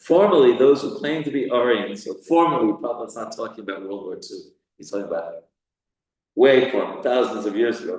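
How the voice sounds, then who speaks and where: A man with an American accent speaks at a fairly quick pace, his loudness swinging widely. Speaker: spiritual teacher. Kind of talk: scripture class. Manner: halting.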